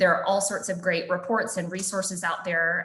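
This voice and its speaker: Audible room echo surrounds a monotone voice with flat intonation. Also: woman. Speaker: policy advocate. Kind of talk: webinar presentation.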